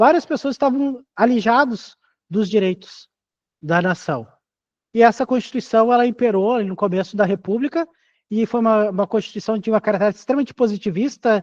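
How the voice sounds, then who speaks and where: Against a quiet background, someone talks at a fairly quick pace. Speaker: teacher. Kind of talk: lecture. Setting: classroom with in-person students. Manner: fast.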